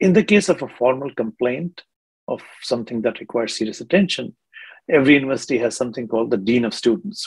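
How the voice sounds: The pace is fast, and the intonation is lively. A slightly mellow tone carries a slightly husky edge. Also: man, medium pitch for a man.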